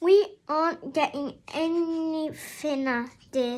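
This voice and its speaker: Over a very clean recording with a silent background, a woman uses a put-on character voice with an extremely high pitch at a very slow pace. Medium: read story.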